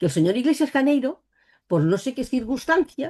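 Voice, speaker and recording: The voice has a dark, mellow tone, somewhat breathy, with very wide pitch swings. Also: woman. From Spain, Catalonia (Barcelona). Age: 60s. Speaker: psychic and author. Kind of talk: interview.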